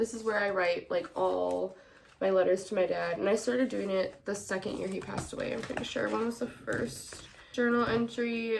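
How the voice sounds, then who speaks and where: Noticeable background noise surrounds a woman talking fairly fast in an American accent. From Wisconsin, Milwaukee. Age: 20s. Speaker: podcast host. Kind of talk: personal monologue.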